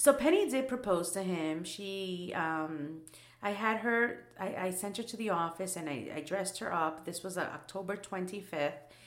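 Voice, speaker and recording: Over noticeable background noise and audible room echo, a woman speaks in a medium pitch. Her intonation is lively and her pace moderate. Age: 30s. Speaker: podcast co-host. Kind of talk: casual chat.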